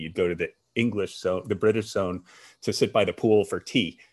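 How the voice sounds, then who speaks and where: An unremarkable speaking voice, this man talks with an American accent at a moderate pace, fairly low in pitch with fairly even intonation. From US, army brat. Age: 50s. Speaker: former national security official. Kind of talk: interview.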